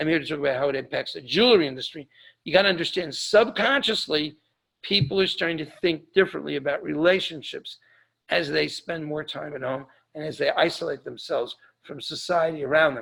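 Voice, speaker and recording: A man speaks at a fairly quick pace in a fairly high pitch, with ordinary pitch variation and big swings in loudness. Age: 60s. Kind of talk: webinar presentation. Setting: online webinar. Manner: halting, with fillers.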